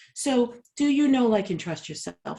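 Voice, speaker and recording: Her tone dark and mellow, a woman speaks with lively intonation and a somewhat breathy voice. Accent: American. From Boston, US. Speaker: leadership coach. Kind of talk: workshop presentation. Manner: fast.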